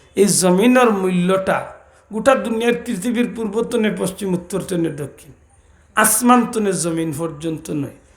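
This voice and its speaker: A man with a Sylheti accent, high in pitch with ordinary pitch variation, over audible room echo. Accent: Sylheti Bengali. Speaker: Islamic preacher. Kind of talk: sermon.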